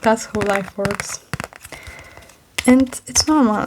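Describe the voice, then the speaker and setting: A soft-spoken woman talks at a very slow pace in a fairly high pitch with fairly even intonation, and there is noticeable background noise. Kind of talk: ASMR comfort talk.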